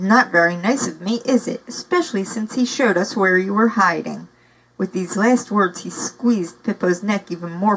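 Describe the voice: Ordinary pitch variation in plain reading aloud.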